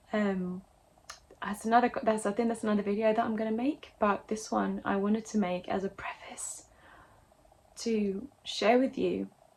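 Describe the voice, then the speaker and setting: A woman speaks with a fairly high pitch and fairly even intonation. Her voice is somewhat breathy. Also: moderate pace. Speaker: actor and singer. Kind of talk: casual talk to camera.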